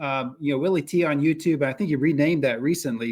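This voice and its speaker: This man has an unremarkable speaking voice and an American accent, speaking at a fairly quick pace with a fairly high pitch on a very clean recording with a silent background. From US Southeast. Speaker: podcast host. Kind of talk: casual interview. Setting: cabin.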